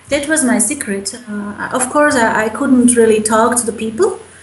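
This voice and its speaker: The speech has a moderate pace and ordinary pitch variation, with noticeable background noise. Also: woman. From Slovakia. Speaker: mother. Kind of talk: interview answer.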